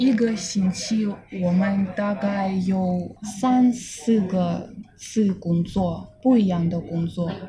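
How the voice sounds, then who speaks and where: A woman with a Russian accent speaks very slowly at a medium pitch over noticeable background noise. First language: Russian (speaking Chinese). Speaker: fashion model and Chinese learner. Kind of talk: interview. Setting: on location in Tokyo. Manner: halting, many fillers.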